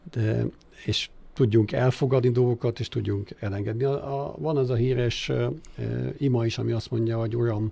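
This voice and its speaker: A man talks at a moderate pace, sounding somewhat breathy. His tone is dark and mellow, with fairly even intonation. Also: medium pitch for a man. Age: 60s. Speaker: philanthropist, former investment banker. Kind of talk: interview. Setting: studio. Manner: hesitant, many filler sounds.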